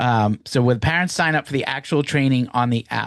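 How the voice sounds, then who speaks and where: A man's medium-pitched voice in an American accent, a plain, everyday voice at a moderate pace with ordinary pitch variation, over a quiet background with dry, close sound and no echo. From Massachusetts, near Boston (Woburn). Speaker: business founder presenting to evaluators. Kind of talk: live Q&A webinar. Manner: casual, many fillers and restarts.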